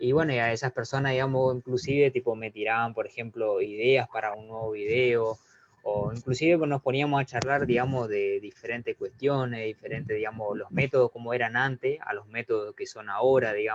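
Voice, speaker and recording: In a dry, close sound with no echo, a man with an ordinary speaking voice talks at a medium pitch and a fairly quick pace, with fairly even intonation and hardly any pauses. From Argentina. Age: 20s. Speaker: math YouTube teacher. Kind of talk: interview.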